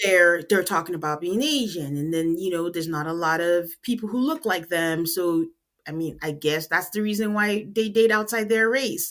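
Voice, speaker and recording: With a Nigerian accent and an animated tone, the speaker goes at a moderate pace with hardly any pauses and ordinary pitch variation. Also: woman, fairly low pitch for a woman. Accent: Nigerian accent, noticeable. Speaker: podcast host. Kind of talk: casual chat.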